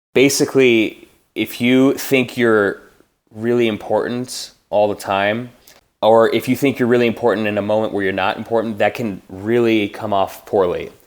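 Speaking with a Minnesota accent, a man of medium pitch keeps a moderate pace and a monotone, flat intonation. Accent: Upper Midwest (Minnesota) American. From Minnesota, small town west of Minneapolis. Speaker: orchestra timpanist. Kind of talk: casual interview.

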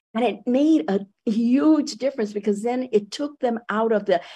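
The voice belongs to a woman and sounds somewhat breathy. She talks at a fairly slow pace. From Puerto Rico. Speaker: education professor and activist. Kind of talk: radio interview. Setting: radio studio.

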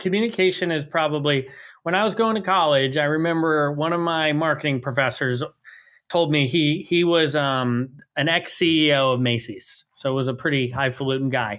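A man with an American accent speaks in a normal speaking voice at a fairly quick pace. His pitch is fairly high, with ordinary pitch variation. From New York City. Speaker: chief information officer. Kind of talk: interview.

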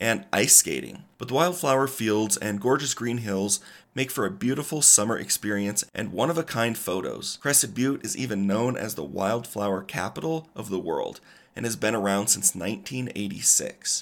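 A man with a plain, everyday voice speaks at a moderate pace and medium pitch with lively intonation. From Colorado. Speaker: podcast co-host. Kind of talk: semi-scripted travel podcast.

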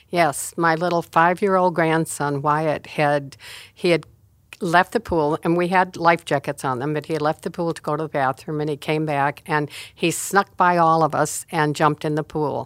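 A woman's very deep, low voice in a very clean recording with a silent background and a dry, close sound with no echo. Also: fairly even intonation, moderate pace. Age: 80s+. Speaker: church elder, pastor's mother. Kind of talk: testimony. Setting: studio.

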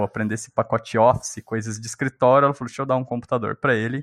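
A normal speaking voice from a man, fairly even in intonation, with a dry, close sound and no echo. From Brazil, São Paulo state (born in Minas Gerais). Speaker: software engineer. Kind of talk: casual interview chat.

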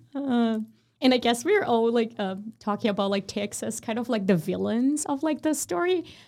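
A woman speaks at a moderate pace. Her fairly high voice has lively intonation. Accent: Portuguese. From Brazil. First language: Portuguese. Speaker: podcast host, graduate student researcher. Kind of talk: casual interview.

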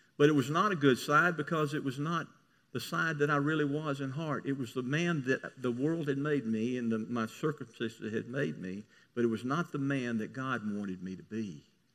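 Fairly high-pitched man with a Southern US accent at a moderate pace, with ordinary pitch variation over a quiet background. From US South. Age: 70s. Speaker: pastor. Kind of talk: sermon.

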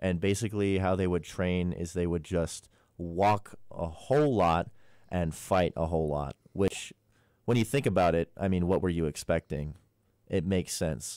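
This man has a very deep, low pitch with ordinary variation. He talks at a moderate pace. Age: 20s. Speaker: student radio show panelist. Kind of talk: casual chat. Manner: animated.

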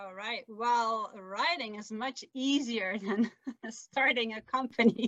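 A woman with a Flemish accent speaks at a very slow pace and fairly high pitch, her intonation fairly even but her loudness swinging widely. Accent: Belgian Dutch-accented English. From Belgium. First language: Dutch. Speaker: author and sailor. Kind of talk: casual interview. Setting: video call from camper van.

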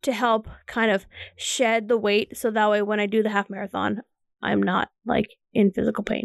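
In a dry, close sound with no echo, a woman speaks at a fairly high pitch with vocal fry. Her intonation is monotone and flat, her loudness very even, her pace moderate. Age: 30s. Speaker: phlebotomist and student. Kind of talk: casual chat. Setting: home studio.

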